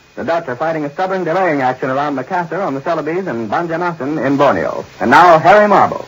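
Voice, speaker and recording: The speech moves at a very fast pace with ordinary pitch variation over noticeable background noise. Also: man, fairly high pitch for a man. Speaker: radio news announcer. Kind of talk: 1940s radio news broadcast announcement. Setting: old radio broadcast recording.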